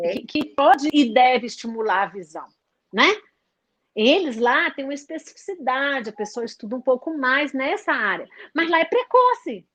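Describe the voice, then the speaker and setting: A woman's high-pitched voice with lively intonation, big swings in loudness and a moderate pace. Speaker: early intervention teacher. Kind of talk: live webinar talk. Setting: live stream. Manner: halting, many fillers.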